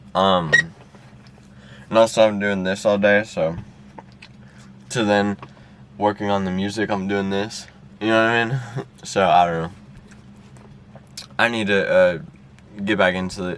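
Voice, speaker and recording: Mumbling at a moderate pace with long, frequent pauses, a man keeps a fairly low pitch and fairly even intonation. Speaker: podcaster and beatmaker/rapper. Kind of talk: casual vlog monologue. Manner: hesitant, filler-heavy.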